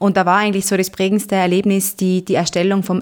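A woman's voice at medium pitch. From Austria, Zillertal (Tyrol). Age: 20s. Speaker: parish council member. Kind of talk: interview. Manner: halting, frequent filler sounds.

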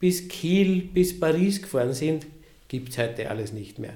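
A man speaks at a fairly slow pace with lively intonation and a dark, mellow tone, and the room echo is audible. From Lower Austria. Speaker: cathedral sacristy director. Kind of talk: casual interview. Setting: office near the cathedral.

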